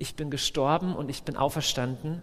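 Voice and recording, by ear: The speaker talks at a fairly quick pace with ordinary pitch variation.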